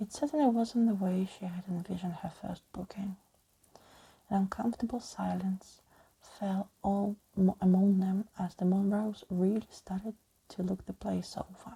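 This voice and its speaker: The voice is somewhat breathy with a dark, mellow tone, moving at a moderate pace with fairly even intonation. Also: woman, medium pitch for a woman. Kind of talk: ASMR audiobook reading of a scary story. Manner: soft-spoken, relaxing.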